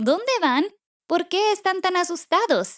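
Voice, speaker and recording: A woman puts on a character voice pitched extremely high and talks at a fairly slow pace. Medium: read story.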